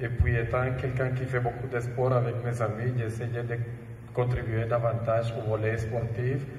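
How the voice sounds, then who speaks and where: A man speaks at a fairly slow pace with medium pitch. His delivery is monotone and flat, with audible room echo. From Colombia. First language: Spanish (speaking French). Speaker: sports event organizer. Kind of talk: talk show interview.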